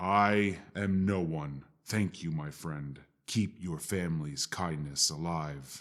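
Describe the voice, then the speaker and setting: Using a put-on character voice, a man speaks at a fairly slow pace with a very deep, low pitch and ordinary pitch variation. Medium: audio drama.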